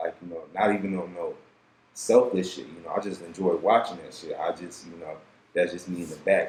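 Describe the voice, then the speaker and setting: Over noticeable background noise, a man talks very fast. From Detroit, Michigan. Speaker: rapper. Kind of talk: casual podcast interview.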